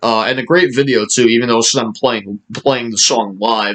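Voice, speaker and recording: The speaker is a man. Ordinary variation marks his pitch. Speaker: music video creator. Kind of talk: casual monologue. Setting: indoors by a sunny window. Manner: halting; fast.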